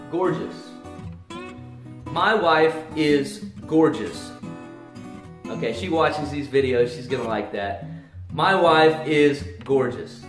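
Speech comes at a very slow pace with long, frequent pauses and big swings in loudness, over clear background music and audible room echo. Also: man. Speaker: English teacher. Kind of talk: tutorial. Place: home room. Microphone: camera far.

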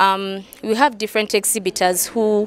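A woman's medium-pitched voice with fairly even intonation.

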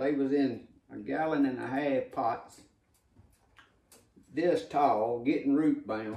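A man with a dark, mellow tone speaks at a very slow pace with ordinary pitch variation, and audible room echo surrounds his voice. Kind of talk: casual vlog chat. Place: kitchen.

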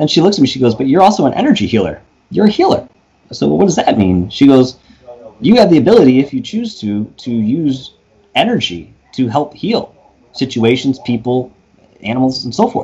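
With an American accent, a man speaks fairly quickly in a dark, mellow, somewhat breathy tone, his pitch swinging very widely. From New York. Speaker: paranormal investigator and YouTuber. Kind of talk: interview storytelling. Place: home room. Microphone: studio mic.

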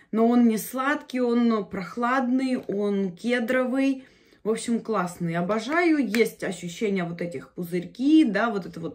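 Against a quiet background, a woman speaks somewhat breathily at a fairly slow pace. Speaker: beauty vlogger. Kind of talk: casual vlog chat. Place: home room. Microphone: phone near.

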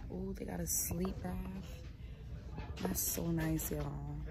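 Moderate pace over loud background noise. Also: woman. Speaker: vlogger. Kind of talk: casual vlog chat. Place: shop. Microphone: phone near.

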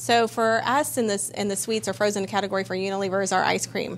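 A woman's fairly quick speech, with ordinary pitch variation, comes through light background noise. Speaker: consumer goods company representative. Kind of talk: interview. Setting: studio. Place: studio.

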